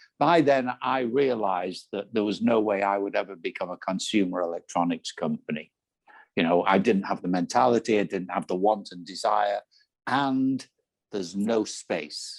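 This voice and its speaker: A man with an English accent speaks at a moderate pace in a fairly low pitch, with ordinary pitch variation and a dry, close sound with no echo. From England. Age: 70s. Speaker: business coach and entrepreneur. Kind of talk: interview answer.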